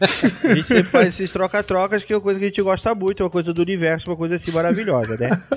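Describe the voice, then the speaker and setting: A man with a high pitch, ordinary pitch variation, a very fast pace and hardly any pauses. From interior of São Paulo state, Brazil. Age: 30s. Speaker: podcaster. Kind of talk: casual chat.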